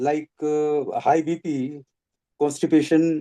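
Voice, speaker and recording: The man's voice sits at a fairly high pitch. It carries a dark, mellow tone. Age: 70s. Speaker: retiree sharing health testimony. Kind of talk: testimony. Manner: halting.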